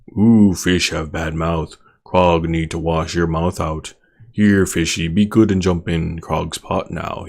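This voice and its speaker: Putting on a character voice, a man growls at a very deep, low pitch, speaking fairly slowly with fairly even intonation. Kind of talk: crude broken speech, third person. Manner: growling.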